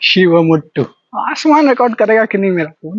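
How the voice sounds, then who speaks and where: A man at a moderate pace. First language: Maithili (speaking Hindi). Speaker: travel vlogger. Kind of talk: walking vlog monologue. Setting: outdoors, walking on a deserted road at night.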